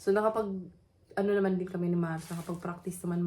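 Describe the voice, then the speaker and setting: A woman speaks in a fairly low pitch, somewhat breathy. Her intonation is monotone and flat. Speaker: vlogger. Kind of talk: casual vlog talk. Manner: toned-down voice, early morning.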